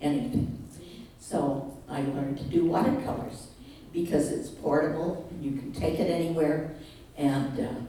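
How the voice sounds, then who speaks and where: Audible room echo hangs around a woman as she talks fairly slowly. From Canada, Manitoba. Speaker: retiree giving talk. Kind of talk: personal presentation to audience. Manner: halting, many fillers.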